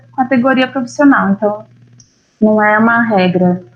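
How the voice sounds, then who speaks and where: A woman speaks at a fairly high pitch with fairly even intonation. Her voice is somewhat breathy. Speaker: family lawyer. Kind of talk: lecture.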